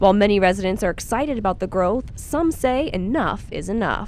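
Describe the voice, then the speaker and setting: A woman with a medium pitch and lively intonation, a normal speaking voice. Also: fairly quick pace. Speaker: TV reporter and anchor. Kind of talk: TV news reporter voiceover.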